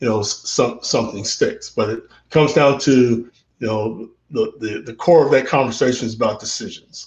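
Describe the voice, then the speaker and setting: A man with an American accent, somewhat breathy, at a moderate pace. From Central Texas. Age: 60s. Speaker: interview guest. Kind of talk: casual interview. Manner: halting, many fillers and repeats.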